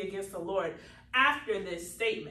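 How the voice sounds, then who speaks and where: Audible room echo surrounds a woman's voice. She speaks at a fairly quick pace with ordinary pitch variation. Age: 30s. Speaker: minister and podcast host. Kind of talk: sermon.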